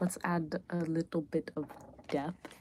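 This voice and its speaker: A woman speaks in a relaxed tone. Her intonation is monotone and flat. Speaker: spiritual lifestyle content creator. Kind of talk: casual livestream chat while drawing. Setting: live stream. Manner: relaxed, hesitant with many fillers.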